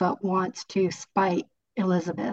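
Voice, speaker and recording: A woman talks in a normal speaking voice with a General American accent. Her pitch is medium, her pace moderate, and the sound dry and close with no echo. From California. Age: 60s. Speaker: author. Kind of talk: book club discussion. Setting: video call.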